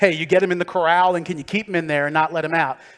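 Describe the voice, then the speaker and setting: With a Philadelphia accent, a man talks at a very fast pace. His pitch sits fairly high. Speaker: tech company speaker. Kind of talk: conference talk. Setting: stage with audience. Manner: conversational, animated.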